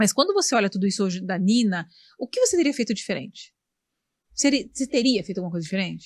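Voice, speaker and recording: A woman's somewhat breathy voice at medium pitch, very fast in pace, with lively intonation and a quiet background. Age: 40s. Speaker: podcast host. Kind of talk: interview.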